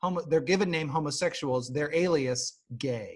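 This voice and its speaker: Fairly quick and with ordinary pitch variation, the speaker uses an ordinary speaking voice with an American accent. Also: man. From Nebraska. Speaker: podcast host. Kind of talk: casual chat.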